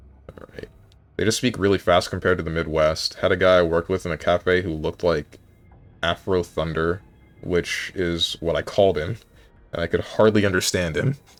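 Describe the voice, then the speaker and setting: Music plays in the background. Over it, a man with a very deep, low pitch speaks at a fairly quick pace. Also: fairly even intonation. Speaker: gaming streamer. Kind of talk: live stream commentary.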